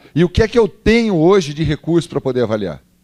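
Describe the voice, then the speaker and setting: The delivery is animated, fairly quick, and full of very wide pitch swings. The recording is very clean with a silent background and a dry, close sound with no echo. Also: man. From interior of São Paulo state, Brazil (Barretos). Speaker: professor of physical education. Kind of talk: lecture.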